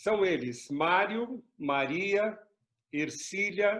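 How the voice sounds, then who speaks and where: Pitch variation is ordinary. Delivery comes at a very slow pace. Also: man. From southern Minas Gerais, Brazil (Pouso Alegre). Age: 60s. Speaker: pastor. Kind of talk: interview.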